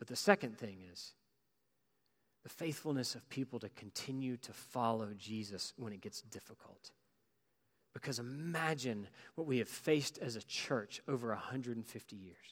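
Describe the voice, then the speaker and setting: At medium pitch and a moderate speed, a man with an ordinary speaking voice shows ordinary pitch variation and big swings in loudness. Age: 40s. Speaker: pastor. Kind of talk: sermon.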